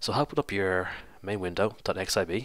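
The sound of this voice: Speaking with fairly even intonation, a man has a low pitch and a fairly bright tone.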